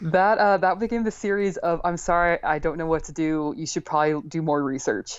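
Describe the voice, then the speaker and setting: In an ordinary speaking voice with an American accent, a woman talks at a fairly quick pace and fairly low pitch, with ordinary pitch variation and hardly any pauses. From US Northeast. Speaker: chronic illness patient. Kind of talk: interview.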